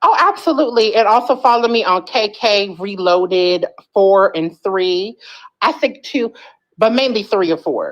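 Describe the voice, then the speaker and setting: Lively in intonation, a woman with an American accent and a fairly high pitch talks at a moderate pace. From Philadelphia. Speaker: livestream guest. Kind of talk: casual chat.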